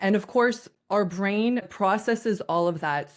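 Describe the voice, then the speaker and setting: With a Canadian accent, a woman speaks in a plain, everyday voice at a moderate pace with ordinary pitch variation, over a quiet background. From Canada. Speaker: communication coach. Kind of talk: interview.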